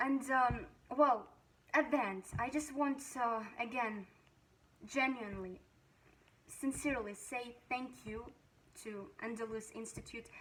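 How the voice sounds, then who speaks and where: Speaking at a fairly slow pace with long, frequent pauses, a woman uses a high pitch, ordinary pitch variation and big swings in loudness. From Russia. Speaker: language student. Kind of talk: testimony. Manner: halting, many fillers.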